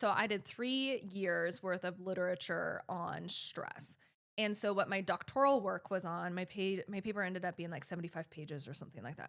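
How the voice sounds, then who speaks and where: A woman with an unremarkable speaking voice talks at a moderate pace and medium pitch, her pitch varying in an ordinary way. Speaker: nurse practitioner. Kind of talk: casual chat.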